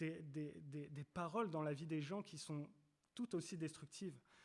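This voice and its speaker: A man speaks fairly slowly in a fairly high voice, with ordinary pitch variation. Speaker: preacher. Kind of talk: sermon. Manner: halting, many repetitions.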